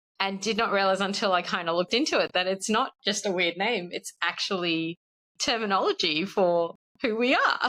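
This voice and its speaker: A woman speaks at a medium pitch and moderate pace, with an Australian accent. Her pitch variation is ordinary, and the sound is dry and close with no echo. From Australia (born in South Africa, moved at five). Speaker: podcast guest, expat spouse. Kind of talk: casual chat. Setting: podcast interview.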